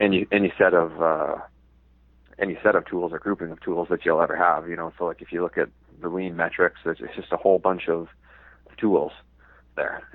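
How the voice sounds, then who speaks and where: A man talks at a fairly quick pace, his loudness swinging widely, with long pauses coming often. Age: 20s. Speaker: general manager. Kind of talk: interview conversation. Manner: casual, hesitant with fillers.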